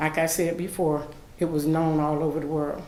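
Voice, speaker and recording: A woman is speaking. There is audible echo in the room. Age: 60s. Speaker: public commenter at city meeting. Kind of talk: public comment at meeting. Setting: city commission meeting.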